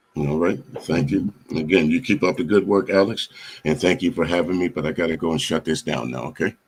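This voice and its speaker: At a fairly quick pace, a man with a very deep, low pitch and vocal fry speaks with lively intonation. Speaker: radio host. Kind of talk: casual chat. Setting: live stream. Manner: halting.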